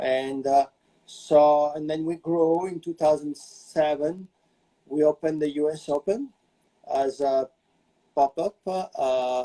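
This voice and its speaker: In a French accent, a man with a fairly high pitch and a dark, mellow tone speaks very slowly with long, frequent pauses and fairly even intonation, recorded dry and close with no echo. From France, small village. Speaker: celebrity hairstylist and salon owner. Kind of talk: interview. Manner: halting, many fillers.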